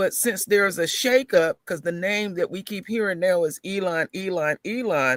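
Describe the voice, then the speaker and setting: The recording is dry and close with no echo as a man with a high-pitched voice talks at a moderate pace, hardly pausing, with ordinary pitch variation. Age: 50s. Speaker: caller. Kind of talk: casual chat.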